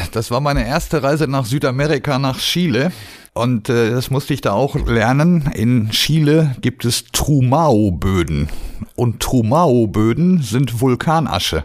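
At a fairly slow pace, a man with a normal speaking voice and medium pitch uses lively intonation in a very clean recording with a silent background. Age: 50s. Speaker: agricultural machinery trainer. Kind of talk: casual interview.

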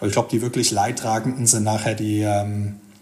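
A man's medium-pitched voice comes with audible room echo. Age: 40s. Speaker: freight forwarder. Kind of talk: casual interview. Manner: hesitant with fillers.

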